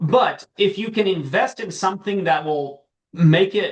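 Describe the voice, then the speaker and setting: Very slowly, a man speaks in a high pitch with ordinary pitch variation. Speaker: farm management expert. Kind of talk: webinar Q&A answer. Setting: video call webinar. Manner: halting, many fillers.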